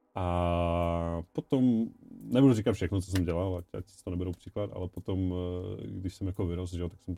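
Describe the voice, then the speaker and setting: Music plays in the background as a man with a very deep, low pitch speaks at a fairly quick pace, the sound dry and close with no echo. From Czechia, Ostrava. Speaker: music producer and DJ. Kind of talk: casual interview. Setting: studio.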